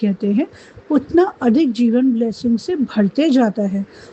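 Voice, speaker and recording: Clear background noise accompanies a woman whose pitch moves in a typical way. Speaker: meditation guide. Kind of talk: guided gratitude meditation.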